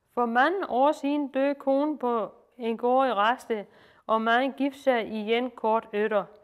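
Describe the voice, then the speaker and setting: A woman speaks with a high pitch and ordinary pitch variation, in a Lolland accent. The recording is very clean, with a silent background. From Lolland, Denmark. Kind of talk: folk tale reading aloud.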